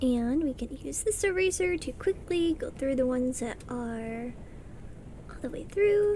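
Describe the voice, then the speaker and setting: A woman speaks at a fairly slow pace and high pitch, her pitch swinging very widely and her loudness rising and falling sharply. Background noise is noticeable. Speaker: art streamer. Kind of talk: casual livestream chat while drawing.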